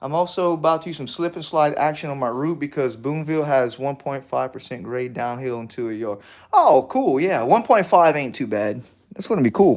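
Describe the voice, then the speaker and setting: This man talks at a fairly quick pace with a fairly high pitch. His tone is animated, his intonation lively, and the background is quiet. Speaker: model railroad hobbyist streamer. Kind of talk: casual live stream chat.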